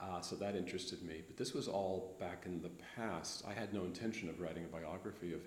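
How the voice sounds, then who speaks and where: A man with an American accent speaks very fast in a very deep, low pitch with fairly even intonation. Audible room echo surrounds his voice. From US West Coast, Los Angeles. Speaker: history professor. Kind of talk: interview.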